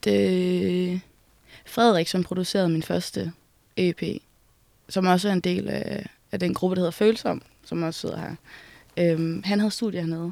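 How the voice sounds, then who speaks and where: At a moderate pace, a woman talks in a dark, mellow tone with fairly low pitch and fairly even intonation. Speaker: musician. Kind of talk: casual interview. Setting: music venue building.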